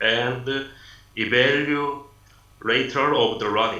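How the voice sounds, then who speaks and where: Against noticeable background noise and audible room echo, a man with a Korean accent talks at a medium pitch. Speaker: city lifelong learning official. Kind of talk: prepared presentation. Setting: video call. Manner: halting.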